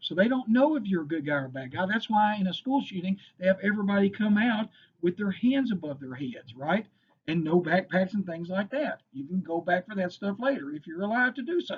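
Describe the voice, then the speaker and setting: A man with a Kentucky accent talks at a fairly quick pace. His high voice moves through very wide pitch swings. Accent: Kentucky Southern US. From Western Kentucky. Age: 50s. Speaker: firearms instructor. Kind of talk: lecture. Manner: casual, filler-heavy.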